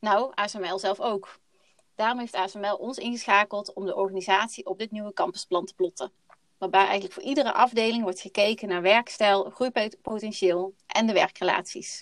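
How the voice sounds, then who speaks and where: A woman speaks at a medium pitch and a moderate pace, her intonation fairly even but her loudness swinging widely. The sound is dry and close, with no echo. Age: 30s. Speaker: housing consultant. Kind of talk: podcast interview. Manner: hesitant, many fillers.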